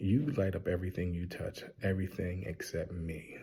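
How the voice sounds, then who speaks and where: A man whispers quietly and somewhat breathily at a moderate pace in a very clean recording with a silent background. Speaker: TV show reviewer. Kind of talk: casual review. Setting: public library. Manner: whispering, quiet; animated.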